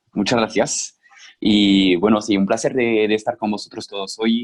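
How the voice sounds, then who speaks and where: A man with a slight French accent speaks at a moderate pace. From French Basque Country. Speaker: former startup employee, webinar panelist. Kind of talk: webinar panel talk. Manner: halting, many repetitions.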